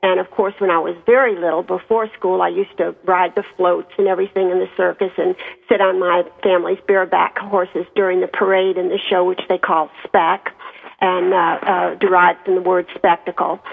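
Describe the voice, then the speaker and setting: Speaking with an American accent, a woman talks at a fairly quick pace in a medium pitch. Her intonation is flat and monotone, with noticeable background noise. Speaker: circus family author. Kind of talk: radio interview about her book.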